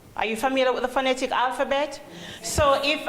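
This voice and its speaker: Over noticeable background noise, a woman speaks with a Jamaican accent. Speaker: call center trainer. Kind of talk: training presentation.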